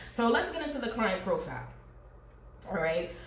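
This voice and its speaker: A woman with an American accent speaks at a fairly quick pace. Audible room echo and noticeable background noise come through. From US Northeast, Pennsylvania (Harrisburg). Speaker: marketing and sales coach. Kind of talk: live-streamed business workshop. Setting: Facebook livestream. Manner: fast; some stuttering and restarts.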